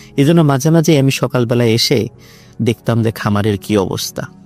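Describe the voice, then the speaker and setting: With music behind him, the man's voice holds a medium pitch and rises and falls in an ordinary way. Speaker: guest storyteller. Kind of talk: horror story narration.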